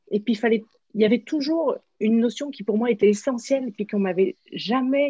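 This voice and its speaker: A woman talks at a fairly quick pace in a fairly high pitch, her tone dark and mellow and somewhat breathy, with a dry, close sound and no echo. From France. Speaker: workshop facilitator, former athlete. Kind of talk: interview. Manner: hesitant, many fillers.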